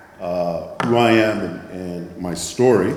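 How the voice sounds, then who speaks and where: A man talks with ordinary pitch variation in a room with audible echo and noticeable background noise. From Nigeria. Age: 60s. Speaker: impact investing presenter. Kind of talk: conference presentation.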